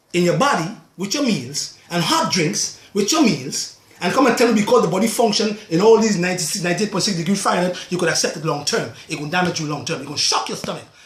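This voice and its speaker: High-pitched male voice, animated and fairly quick, with audible room echo. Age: 60s. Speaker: natural health practitioner. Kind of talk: video monologue.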